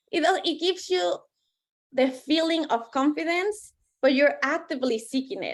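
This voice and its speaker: Speaking with a non-native accent, a woman uses a high pitch and lively intonation at a fairly slow pace, in a very clean recording with a silent background. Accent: foreign. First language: not English. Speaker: life coach and author. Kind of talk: interview.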